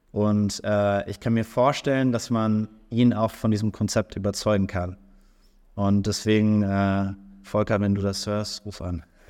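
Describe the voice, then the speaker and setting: Flat, monotone speech from a fairly low-pitched man at a fairly slow pace, in a very clean recording with a silent background. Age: 30s. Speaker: startup founder and CEO. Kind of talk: interview. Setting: recorded on site at an industry event. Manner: hesitant, many filler sounds.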